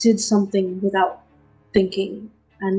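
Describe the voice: This is a recording of someone reading. The delivery is plain reading aloud.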